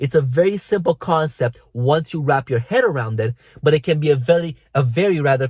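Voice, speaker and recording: At a fairly quick pace, a man speaks fairly high and somewhat breathy, with ordinary pitch variation. The sound is dry and close, with no echo. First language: not English. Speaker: fitness coach. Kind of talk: vlog tutorial.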